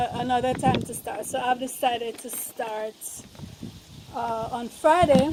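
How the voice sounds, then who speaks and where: Soft-spoken and high-pitched, a woman talks at a moderate pace with long, frequent pauses and big swings in loudness, against noticeable background noise. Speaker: vegan lifestyle vlogger. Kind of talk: casual vlog. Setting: outdoors on a rooftop.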